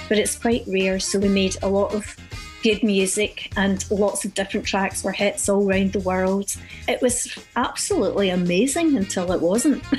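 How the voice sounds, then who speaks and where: Faint music plays behind a woman speaking at a moderate pace, her medium pitch showing ordinary variation. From Glasgow, Scotland. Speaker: singer and actress. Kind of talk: radio interview answer. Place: studio.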